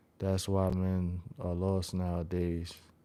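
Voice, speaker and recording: A man's very deep, low voice with an American accent, dark and mellow in tone, monotone and flat, with audible room echo. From New York. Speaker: live streamer. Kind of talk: casual live-stream chat. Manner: halting, many repetitions.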